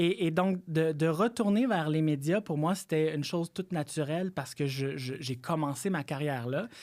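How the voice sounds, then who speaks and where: In a Quebec accent, a man talks at a moderate pace with a fairly high pitch and ordinary pitch variation. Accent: Québécois French. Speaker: political analyst. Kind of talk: podcast interview. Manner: halting, many repetitions.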